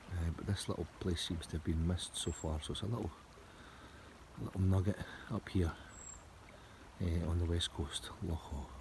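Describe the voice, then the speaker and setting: A man with a Scottish accent speaks at a very deep, low pitch and a fairly quick pace. His voice is somewhat breathy, and his intonation stays fairly even. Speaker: motorcycle touring vlogger. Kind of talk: casual vlog. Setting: outdoors. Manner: soft-spoken.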